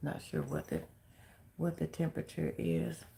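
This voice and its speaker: A soft-spoken woman talks at a fairly slow pace. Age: 50s. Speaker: livestream host, chronic illness vlogger. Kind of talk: casual livestream chat.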